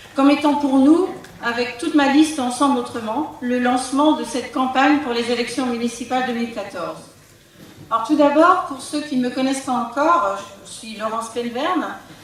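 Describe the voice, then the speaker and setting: In a room with audible echo and noticeable background noise, a woman with a high pitch speaks at a fairly quick pace. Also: ordinary pitch variation. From Brittany, France (Côtes d'Armor). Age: 60s. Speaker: local politician, retired teacher. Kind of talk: political campaign speech. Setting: public meeting hall with audience. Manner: formal.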